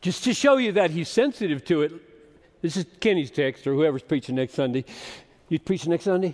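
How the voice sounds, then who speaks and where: A man talks at a fairly quick pace in a high voice with very wide pitch swings. The sound is dry and close, with no echo. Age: 70s. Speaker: pastor. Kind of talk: sermon.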